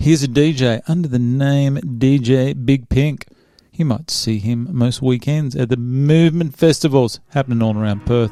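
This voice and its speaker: With an Australian accent, a man speaks at a moderate pace in a dark, mellow tone with ordinary pitch variation. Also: medium pitch for a man. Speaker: podcast host. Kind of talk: casual chat.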